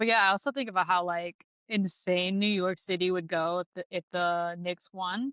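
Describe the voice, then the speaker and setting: Speaking in an American accent, a woman has an ordinary speaking voice with a medium pitch and fairly even intonation. She keeps a moderate pace, and the sound is dry and close, with no echo. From US Midwest. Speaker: podcast host. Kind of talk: casual chat.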